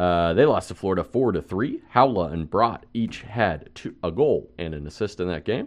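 A man's vocal fry at a moderate pace, over a quiet background. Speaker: hockey podcast co-host. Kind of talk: casual chat.

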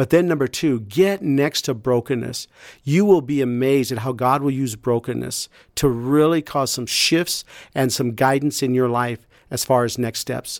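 Here is a man with a plain, everyday voice, medium pitch, ordinary pitch variation, and a moderate pace. The sound is dry and close with no echo, and the recording is very clean with a silent background. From US Midwest, rural Iowa. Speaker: pastor and nonprofit founder. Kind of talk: testimony.

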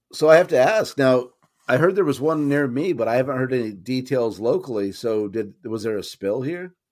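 A man with a normal speaking voice talks at a fairly quick pace and medium pitch, his intonation lively. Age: 50s. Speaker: podcast co-host. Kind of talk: casual chat.

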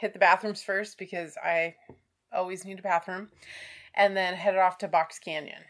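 A woman's medium-pitched voice with fairly even intonation on a very clean recording with a silent background. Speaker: birding podcast co-host. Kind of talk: casual chat. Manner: laughs often.

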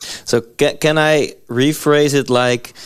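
A man with a Dutch accent on a very clean recording with a silent background. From Netherlands. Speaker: podcast host. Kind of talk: interview.

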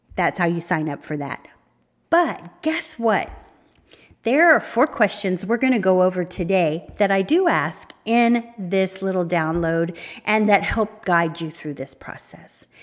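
An ordinary speaking voice at a fairly slow pace with lively intonation. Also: woman, medium pitch for a woman. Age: 50s. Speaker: podcast host, fitness trainer and life coach. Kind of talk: solo podcast monologue.

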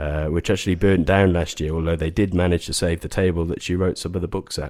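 A man speaks with a very deep, low pitch and a dark, mellow tone, his intonation fairly even. The recording is very clean, with a silent background. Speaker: property investment expert. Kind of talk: casual chat.

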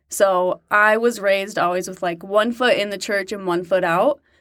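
A woman with an American accent and an unremarkable speaking voice, medium pitch, ordinary pitch variation and a fairly slow pace. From Utah. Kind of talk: interview conversation. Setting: in-person studio. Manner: casual, many filler words.

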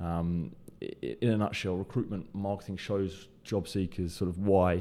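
With a British accent, a man speaks in a very deep, low voice with a dark, mellow tone on a very clean recording with a silent background. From UK. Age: 20s. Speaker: podcast host, recruiter. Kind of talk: solo podcast monologue.

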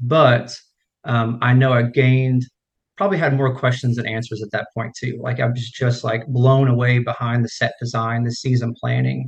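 A somewhat breathy voice at a moderate pace. The intonation stays monotone and flat. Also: man, medium pitch for a man. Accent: American. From United States, small town. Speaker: swim and strength coach. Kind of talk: interview.

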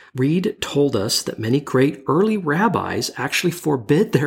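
At a moderate pace, a man's fairly high, somewhat breathy voice makes very wide pitch swings. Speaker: bible study podcast co-host. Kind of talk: scripted narration.

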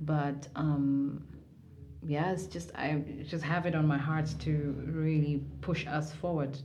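A dark, mellow tone moves at a very slow pace with fairly even intonation. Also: woman, very deep, low pitch for a woman. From Kenya, Mombasa. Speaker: live music event organizer. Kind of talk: interview.

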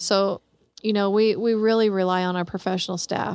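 A woman speaks at a medium pitch with an American accent and fairly even intonation, in an unremarkable speaking voice on a very clean recording with a silent background. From Kansas City, Kansas. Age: 40s. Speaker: police chief. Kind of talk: interview.

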